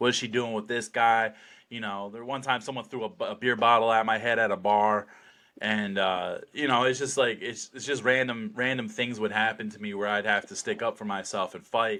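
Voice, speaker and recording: On a very clean recording with a silent background, a man with an American accent speaks at medium pitch and a moderate pace, his tone bright and sharp, his intonation fairly even and his loudness swinging widely. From New Jersey, US. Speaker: slap fighter. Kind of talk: podcast interview, casual chat. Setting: in-person podcast studio. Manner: many fillers and restarts.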